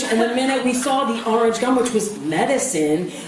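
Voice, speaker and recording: A woman's voice over noticeable background noise. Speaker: comedic ukulele performer. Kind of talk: comedic spoken word to a live audience. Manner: chatty, comedic.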